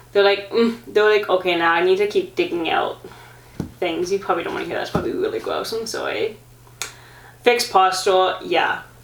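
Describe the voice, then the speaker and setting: Noticeable background noise runs behind a woman speaking fairly quickly. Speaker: vlogger, amateur marathon runner. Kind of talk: casual sit-down vlog talk. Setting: sitting at home filming herself. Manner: fast and garbled when excited.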